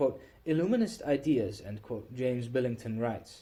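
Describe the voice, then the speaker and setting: A man speaks with a tone that is dark and mellow. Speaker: audiobook reader. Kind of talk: reading aloud.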